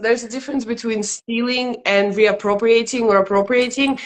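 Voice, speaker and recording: A woman with a Russian accent talks at a fairly quick pace in a fairly high pitch. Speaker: stand-up comedian. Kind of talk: interview.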